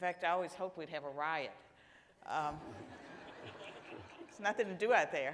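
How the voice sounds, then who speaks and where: In an American accent, a woman speaks at a fairly low pitch and a fairly quick pace, with ordinary pitch variation, big swings in loudness and long, frequent pauses. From US South, rural Virginia. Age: 60s. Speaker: panelist, senior policy fellow. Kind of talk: panel discussion.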